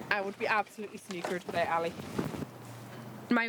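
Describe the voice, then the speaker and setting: In a Hebridean accent, a woman speaks at a very fast pace with a medium pitch and fairly even intonation. Noticeable background noise runs underneath. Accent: Hebridean Scottish. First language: Scottish Gaelic. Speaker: crofter. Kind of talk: documentary interview.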